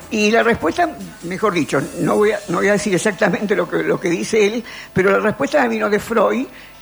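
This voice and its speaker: There is noticeable background noise while the speaker goes at a moderate pace with ordinary pitch variation. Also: woman. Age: 80s+. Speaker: philosopher and columnist. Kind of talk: radio column, casual talk. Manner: halting, repeats words.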